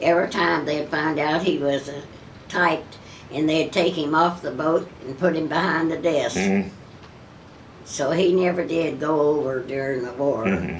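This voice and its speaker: Over noticeable background noise, a woman with a very deep, low pitch speaks at a moderate pace with ordinary pitch variation. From Kentucky. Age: 80s+. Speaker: WWII factory riveter. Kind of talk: interview answer.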